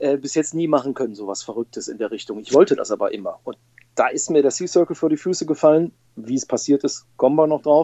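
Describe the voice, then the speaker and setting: A man talks very fast in a fairly high pitch. His pitch variation is ordinary, with big swings in loudness. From Ruhr area, Bochum. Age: 40s. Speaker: motoring journalist and rally participant. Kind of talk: casual interview.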